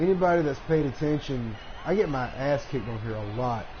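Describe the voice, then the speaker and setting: In a Southern US accent, a man talks at a moderate pace and a fairly high pitch. Audible room echo and noticeable background noise are present. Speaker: gaming live streamer. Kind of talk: live gameplay commentary. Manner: casual, halting with fillers.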